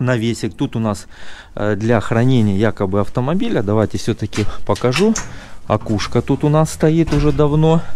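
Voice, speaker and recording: Lively intonation carries a man's voice at a moderate pace, with light background noise behind him. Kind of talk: property walkthrough commentary. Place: garden. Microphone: phone near.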